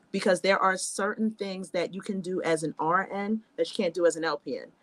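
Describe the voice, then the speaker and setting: Here is a woman with an unremarkable speaking voice at medium pitch. She keeps a fairly quick pace and fairly even intonation. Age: 30s. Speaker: nursing student and nurse. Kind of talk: casual chat.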